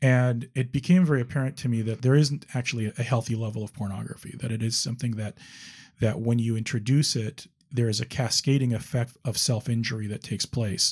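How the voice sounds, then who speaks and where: A somewhat breathy man speaks at a very fast pace and medium pitch with ordinary pitch variation. The recording is very clean, with a silent background. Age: 50s. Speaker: attorney sharing recovery story. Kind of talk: interview testimony.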